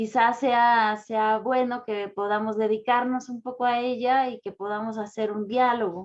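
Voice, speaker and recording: Over a quiet background, a woman with a fairly high pitch talks at a fairly slow pace with hardly any pauses and monotone, flat intonation. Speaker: philosophy professor. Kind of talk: lecture. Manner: calm.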